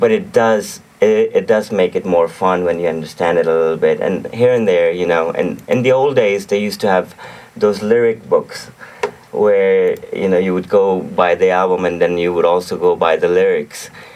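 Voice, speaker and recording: Moderate pacing from a man, with noticeable background noise behind him. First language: Urdu. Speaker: singer-songwriter and music producer. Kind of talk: radio interview. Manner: repetitive, self-correcting.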